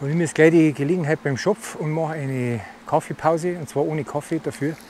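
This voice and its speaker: A man with a Bavarian accent talks at a fairly quick pace and a fairly high pitch. The sound is dry with no echo, with light background noise. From Bavaria, Germany. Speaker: e-bike touring vlogger. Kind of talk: casual talk to camera. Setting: outdoors. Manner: enthusiastic. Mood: relaxed, enthusiastic. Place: waterside. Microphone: phone near.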